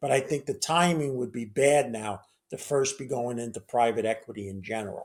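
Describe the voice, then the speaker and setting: A normal speaking voice from a man, medium in pitch with ordinary variation, at a fairly quick pace. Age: 60s. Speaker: financial commentator. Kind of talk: interview.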